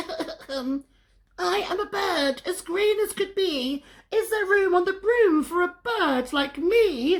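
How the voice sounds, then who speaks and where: In a put-on character voice, someone squeaks out words at an extremely high pitch and a very slow pace. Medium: read story.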